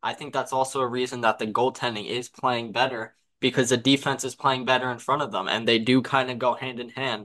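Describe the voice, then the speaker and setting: With an unremarkable speaking voice, a man talks at a fairly quick pace, medium pitch and fairly even intonation. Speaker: podcast co-host and hockey analyst. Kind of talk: casual sports chat.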